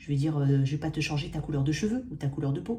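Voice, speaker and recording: With audible room echo, a woman speaks in a somewhat breathy voice with a dark, mellow tone. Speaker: tarot reader. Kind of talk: tarot reading video. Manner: very fast; animated.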